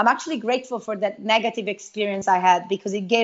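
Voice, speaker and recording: The speaker talks at a fairly quick pace in an Italian accent, with fairly even intonation. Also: woman. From Italy. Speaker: network marketing entrepreneur. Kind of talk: interview.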